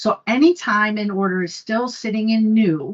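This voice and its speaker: A woman speaks in a somewhat breathy voice. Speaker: conference presenter. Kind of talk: technical presentation.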